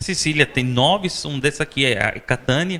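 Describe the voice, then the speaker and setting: Male speech at a fairly slow pace with lively intonation. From Sicily, Italy. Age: 40s. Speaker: vice-consul and chef. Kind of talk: interview. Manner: halting, many fillers.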